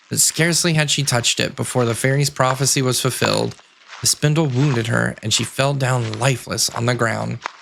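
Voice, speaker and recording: With noticeable background noise, a man of medium pitch talks at a moderate pace. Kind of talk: sleep story. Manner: soft-spoken.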